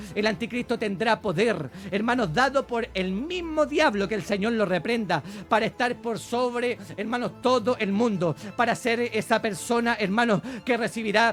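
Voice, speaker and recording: A high-pitched man at a moderate pace, ordinary pitch variation, music in the background. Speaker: bible teacher. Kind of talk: sermon. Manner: animated.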